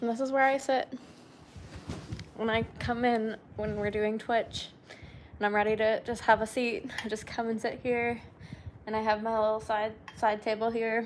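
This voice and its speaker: A soft-spoken woman talks in a fairly high pitch with flat, monotone intonation. She leaves long, frequent pauses. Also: moderate pace. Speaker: lifestyle streamer. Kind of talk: casual live-stream chat.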